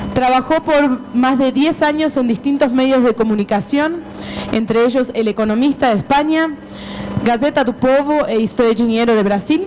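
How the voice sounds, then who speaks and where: A woman's high voice at a moderate pace, with ordinary pitch variation, very even loudness, and noticeable background noise. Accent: Argentine. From Argentina, Buenos Aires. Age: 30s. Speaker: publisher. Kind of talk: conference talk.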